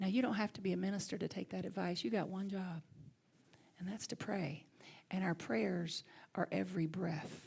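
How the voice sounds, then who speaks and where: A woman talks at a moderate pace with a Southern US accent. Her speech has long, frequent pauses. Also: medium pitch for a woman, ordinary pitch variation. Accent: Southern US accent, lighter than Alabama. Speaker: minister. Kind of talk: sermon.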